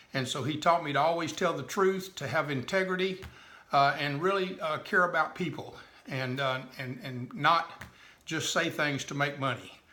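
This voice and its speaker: A man with a Texan accent, fairly high pitch, ordinary pitch variation and a moderate pace. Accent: Texan Southern US. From Texas. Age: 70s. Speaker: direct sales businessman. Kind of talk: personal life story. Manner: halting, many fillers.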